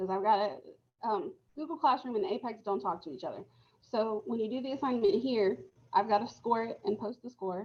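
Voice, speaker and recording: With an American accent, a woman speaks at a fairly quick pace, her fairly high pitch moving in lively intonation. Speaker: high school Spanish teacher. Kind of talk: class instruction on video call. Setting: video call. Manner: fast.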